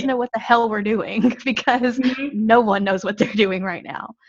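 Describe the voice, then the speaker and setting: A woman's fairly high voice at a moderate pace, an unremarkable speaking voice with fairly even intonation. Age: 30s. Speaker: podcast co-host. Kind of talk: casual chat.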